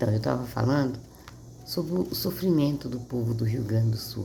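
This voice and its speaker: Audible room echo and noticeable background noise around a woman's moderately paced speech. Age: 60s. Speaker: Bible reader. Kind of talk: casual chat; reading aloud. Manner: halting.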